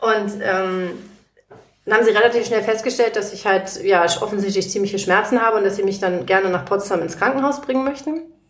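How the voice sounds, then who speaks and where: The woman talks at a fairly quick pace with a medium pitch and ordinary pitch variation. Audible room echo surrounds her voice. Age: 40s. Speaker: legal assistant and patient. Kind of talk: casual interview. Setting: guest's living room.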